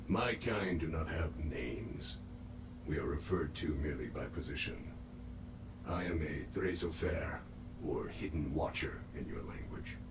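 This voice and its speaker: Through loud background noise, a man with a very deep, low pitch speaks at a moderate pace in a put-on character voice. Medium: machinima. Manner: formal, measured, grave.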